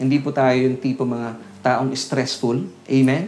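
A man's voice carries audible room echo. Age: 40s. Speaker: pastor. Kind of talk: sermon. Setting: Facebook Live broadcast.

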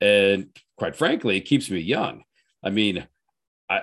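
In a very clean recording with a silent background, a man speaks in an ordinary speaking voice, fairly low in pitch, with lively intonation. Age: 50s. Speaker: personal trainer and gym owner. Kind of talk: casual chat.

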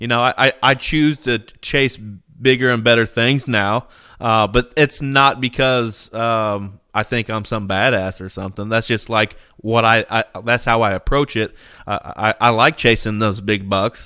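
At a fairly slow pace, a man with a medium pitch speaks in a bright, sharp tone with fairly even intonation, in a dry, close sound with no echo and a very clean recording with a silent background. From Indiana. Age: 30s. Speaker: podcast host, bowhunter. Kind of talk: casual chat.

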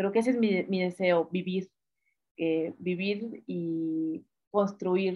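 A woman's medium-pitched voice, very slow, with fairly even intonation. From Mexico, northern Veracruz. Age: 30s. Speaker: feminist activist, communications graduate. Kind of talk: interview. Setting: remote call.

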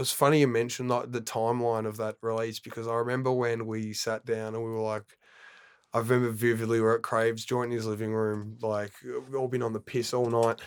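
A man talks at a fairly quick pace with an Australian accent. His medium-pitched delivery is monotone and flat. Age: 20s. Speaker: DJ and turntablist. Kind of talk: casual chat.

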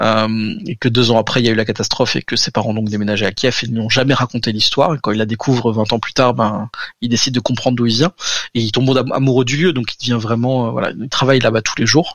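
This man's voice sits at a medium pitch, with fairly even intonation. He talks at a very fast pace. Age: 30s. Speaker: architecture photographer. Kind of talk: casual interview. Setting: remote recording.

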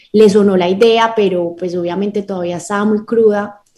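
A woman speaks with monotone, flat intonation and a dark, mellow tone. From Colombia, Medellín. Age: 20s. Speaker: lawyer and startup founder. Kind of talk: radio interview.

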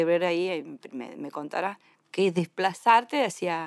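On a very clean, dry and close recording with a silent background and no echo, a woman speaks in a Rioplatense accent at a fairly slow pace with lively intonation. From Greater Buenos Aires, Argentina. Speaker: radio host and folk musician. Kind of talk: casual chat.

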